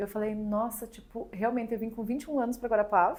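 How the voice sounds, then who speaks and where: A woman speaks with a Rio Grande do Sul accent. Her pitch is fairly high. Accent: Rio Grande do Sul (gaúcho). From Rio Grande do Sul, southern Brazil. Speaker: magazine founder and usual podcast host. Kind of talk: podcast interview.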